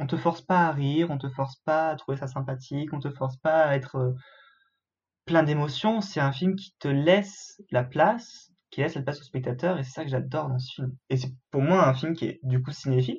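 At a moderate pace, a man talks in a somewhat breathy, fairly high voice with ordinary pitch variation. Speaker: film student and podcast co-host. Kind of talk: casual chat.

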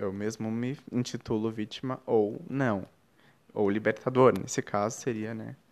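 Against a quiet background, a man speaks in an ordinary speaking voice at a fairly slow pace. His pitch is fairly low and his intonation fairly even. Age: 20s. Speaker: podcast host. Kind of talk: reflective spiritual monologue.

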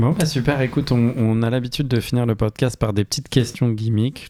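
On a very clean recording with a silent background, a man speaks fairly quickly at medium pitch, with fairly even intonation and a dark, mellow tone. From southern France. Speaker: podcast host. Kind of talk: casual interview.

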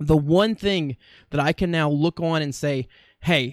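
In a very clean recording with a silent background and a dry, close sound with no echo, a man with an unremarkable speaking voice and an American accent talks at a moderate pace, fairly high in pitch with ordinary pitch variation. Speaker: podcast host. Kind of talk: casual solo monologue. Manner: chatty, humorous, self-deprecating.

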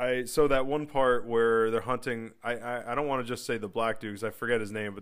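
The speaker uses a normal speaking voice at a fairly quick pace with fairly even intonation, on a very clean recording with a silent background. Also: man. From US Northeast, New Jersey. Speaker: movie podcast co-host. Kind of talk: casual chat.

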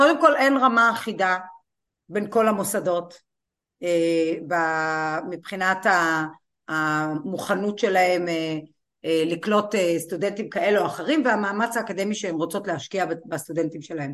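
A woman at medium pitch talks at a fairly slow pace with ordinary pitch variation, leaving long, frequent pauses. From Israel, Kiryat Malakhi. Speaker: law professor and college president. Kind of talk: interview.

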